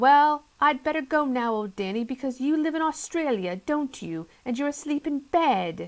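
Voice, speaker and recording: A woman puts on a character voice, high-pitched, at a moderate pace with hardly any pauses, on a very clean recording with a silent background. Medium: read story. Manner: quavery, easily excited.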